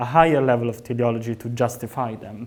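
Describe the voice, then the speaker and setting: A man with an unremarkable speaking voice talks at a moderate pace, with ordinary pitch variation. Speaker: PhD student researcher. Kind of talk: academic seminar talk.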